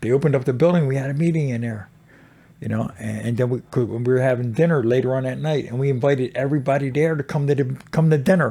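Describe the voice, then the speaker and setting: This man talks at a very fast pace with a medium pitch, a somewhat breathy, dark, mellow tone and fairly even intonation. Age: 60s. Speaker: motorcycle club president in recovery. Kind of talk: casual interview.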